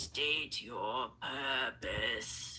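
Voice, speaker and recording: A put-on character voice is used here. Background noise is clearly audible. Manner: imposing, commanding.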